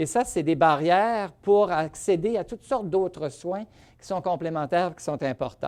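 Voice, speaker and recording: This man has an unremarkable speaking voice set at a fairly high pitch. He talks at a fairly slow pace. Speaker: rheumatologist. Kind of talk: lecture.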